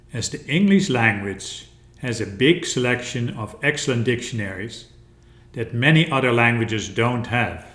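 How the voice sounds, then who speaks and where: A man's lively intonation carries through his moderate-paced speech. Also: medium pitch for a man. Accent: Dutch. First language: Dutch. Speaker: educational video presenter. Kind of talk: instructional narration.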